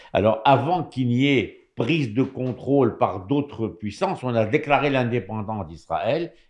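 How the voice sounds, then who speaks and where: Here a man with an ordinary speaking voice talks at medium pitch. He goes at a fairly slow pace with lively intonation. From Morocco. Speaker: radio commentator. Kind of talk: radio panel discussion.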